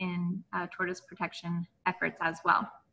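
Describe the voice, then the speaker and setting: A woman speaking at a moderate pace. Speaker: event host. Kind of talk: webinar host introduction. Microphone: video call.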